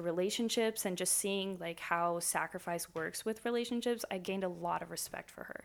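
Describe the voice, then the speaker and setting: A woman speaks at a fairly quick pace with a medium pitch. She has a normal speaking voice with ordinary pitch variation. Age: 20s. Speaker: student. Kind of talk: casual chat.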